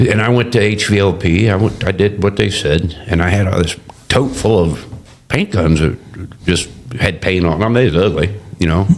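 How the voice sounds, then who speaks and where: Keeping a very even loudness, a man speaks at a moderate pace in a fairly low pitch with ordinary pitch variation. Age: 60s. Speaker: barbecue restaurant owner. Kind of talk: casual interview. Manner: halting, lots of fillers and self-corrections.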